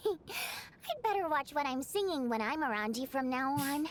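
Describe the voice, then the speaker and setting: A female-sounding voice in a put-on character voice speaks at a high pitch and a moderate pace. Clear background noise is present. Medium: video game. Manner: lively, expressive.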